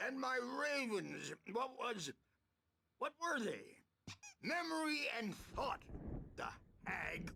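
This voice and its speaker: A put-on character voice with lively intonation, a fairly slow pace and long, frequent pauses. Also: man, extremely high pitch for a man. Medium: video game. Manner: rambling, drifting.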